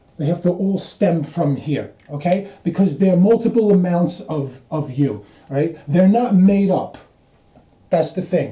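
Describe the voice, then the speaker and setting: A man's high-pitched voice, dark and mellow in tone, at a fairly slow pace with ordinary pitch variation. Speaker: video blogger explaining ideas. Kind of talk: whiteboard explainer monologue. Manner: halting, many fillers and repeats.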